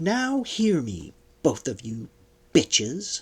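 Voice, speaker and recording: A man's put-on character voice, fairly high in pitch, at a very slow pace with very wide pitch swings. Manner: shouting over the wind, tense.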